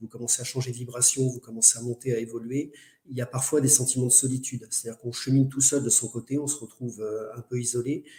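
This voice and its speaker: A man's dark, mellow, somewhat breathy voice at medium pitch, very fast and monotone, flat in intonation. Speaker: medium and spiritual speaker. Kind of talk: online lecture. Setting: live webinar.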